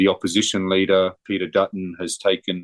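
In an Australian accent, a man with a very deep, low pitch speaks at a moderate pace over a quiet background, the sound dry and close with no echo. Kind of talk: interview.

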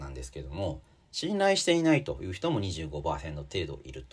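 Speaking at a moderate pace, a man shows very wide pitch swings and vocal fry. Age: 40s. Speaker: magazine editor and podcast host. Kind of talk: solo commentary podcast. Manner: casual with many filler words.

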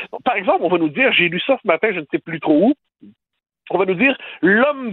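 The speaker is a man. His intonation is lively. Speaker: political commentator. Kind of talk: opinion debate.

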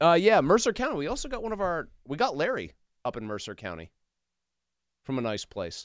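A man with vocal fry and a fairly high pitch speaks at a fairly quick pace, using very wide pitch swings and long, frequent pauses. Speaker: radio sports talk host. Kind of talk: casual sports talk debate. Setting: radio studio.

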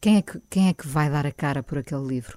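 The sound of this woman's voice is dry and close with no echo, on a very clean recording with a silent background. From Portugal, Lisbon. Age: 50s. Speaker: radio host. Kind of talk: interview conversation. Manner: hesitant, many fillers.

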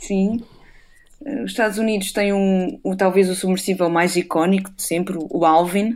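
A woman speaks at a moderate pace in a medium pitch, with ordinary pitch variation, on a very clean recording with a silent background. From Portugal, Alentejo interior (Castelo de Vide). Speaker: marine biologist. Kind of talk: radio interview. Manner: halting, many fillers and repetitions.

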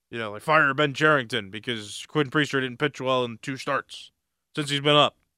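A man speaks at a moderate pace and medium pitch, with a bright, sharp tone, fairly even intonation and big swings in loudness. The sound is dry and close with no echo, in a very clean recording with a silent background. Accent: American. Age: 20s. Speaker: sports podcast host. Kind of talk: solo sports commentary. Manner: casual, conversational with fillers.

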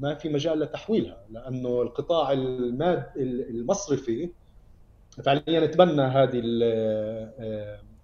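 Speaking very slowly, a man uses a medium pitch with ordinary pitch variation and a dark, mellow tone. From Palestine, Ramallah. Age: 30s. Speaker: human rights activist. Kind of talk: interview.

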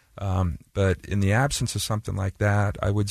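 In an American accent, a man speaks with a very deep, low pitch and a dark, mellow tone, somewhat breathy, with fairly even intonation and a moderate pace. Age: 50s. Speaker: sports team owner. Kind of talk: radio interview. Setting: studio.

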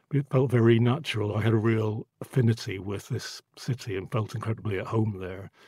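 With a Northern Irish accent, a man speaks at a fairly quick pace with hardly any pauses, his dark, mellow, somewhat breathy voice held to fairly even intonation in a dry, close sound with no echo. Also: medium pitch for a man. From Northern Ireland. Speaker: photographer. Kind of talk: interview. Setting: studio.

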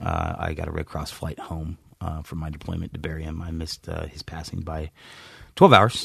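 In an American accent, the speaker moves at a fairly quick pace with monotone, flat intonation and big swings in loudness. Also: man, very deep, low pitch for a man. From US East Coast (Virginia area). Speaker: army veteran. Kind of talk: interview testimony. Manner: halting, many fillers.

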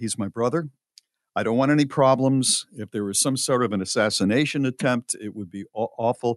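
A man with an unremarkable speaking voice talks at medium pitch with ordinary pitch variation, and the sound is dry and close with no echo. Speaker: radio host. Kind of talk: casual chat.

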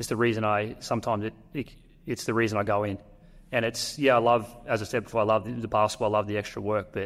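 In an Australian accent, a man talks at a very fast pace. His pitch is fairly low and his intonation monotone and flat. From North Queensland, Australia. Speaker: professional basketball player. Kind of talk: interview. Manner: halting.

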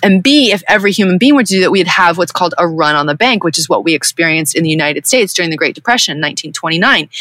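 A woman with an American accent speaks at a very fast pace and a fairly low pitch, with lively intonation, very even loudness and hardly any pauses, over noticeable background noise. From Southern California. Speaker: spiritual guide. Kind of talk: interview.

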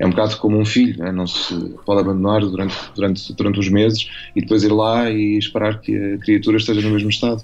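A man with a fairly low pitch talks at a very fast pace in a flat monotone while music plays in the background. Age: 40s. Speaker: novelist. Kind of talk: radio interview. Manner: halting, many fillers and repetitions.

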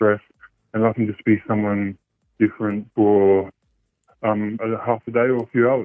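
Over music in the background, a man with an Australian accent speaks at a fairly slow pace and fairly low pitch. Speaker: caller. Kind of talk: radio phone-in confession. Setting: phone call. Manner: hesitant, many ums.

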